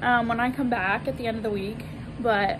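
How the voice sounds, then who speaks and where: A woman at a moderate pace with noticeable background noise. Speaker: vlogger. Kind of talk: casual vlog chat. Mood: excited, happy about new place. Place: street. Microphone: phone near.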